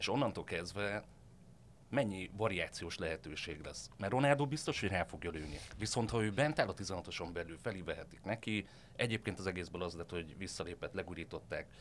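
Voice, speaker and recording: With a normal speaking voice, a man talks at a moderate pace, his fairly low pitch carried by lively intonation. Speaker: sports editor. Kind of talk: casual football discussion.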